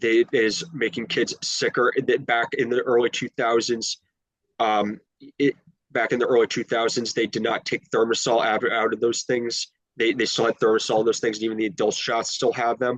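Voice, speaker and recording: In an American accent, a man speaks at medium pitch and a moderate pace with monotone, flat intonation and a dry, close sound with no echo. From US Northeast, Long Island New York. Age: 20s. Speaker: interviewee sharing health journey. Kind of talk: interview. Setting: call. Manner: halting, frequent restarts.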